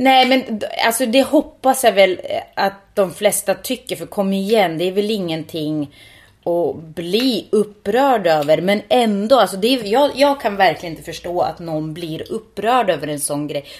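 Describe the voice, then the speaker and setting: On a very clean recording with a silent background, a woman with an unremarkable speaking voice talks fairly slowly at a medium pitch, with lively intonation and big swings in loudness. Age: 30s. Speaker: podcast co-host. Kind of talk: casual chat.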